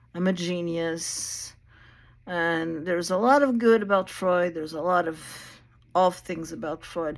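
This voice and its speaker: With a fairly low pitch, a woman talks using ordinary pitch variation. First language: Portuguese. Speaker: video blogger talking about therapy history. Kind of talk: casual lecture-style monologue. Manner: slow; halting.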